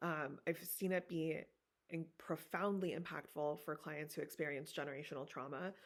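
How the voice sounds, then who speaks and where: A woman with a very deep, low pitch speaks at a fairly quick pace in a monotone, flat intonation. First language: Farsi. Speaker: therapist. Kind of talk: guest lecture. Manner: casual, filler-heavy.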